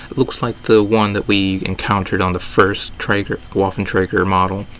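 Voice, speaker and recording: A man's very deep, low voice at a moderate pace with fairly even intonation, against noticeable background noise. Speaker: gaming YouTuber. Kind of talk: video commentary breakdown. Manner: hesitant with fillers.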